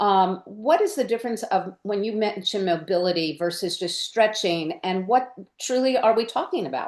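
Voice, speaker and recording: An ordinary speaking voice with lively intonation at a moderate pace. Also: woman, fairly high pitch for a woman. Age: 60s. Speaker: podcast host and occupational therapist. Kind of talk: interview podcast.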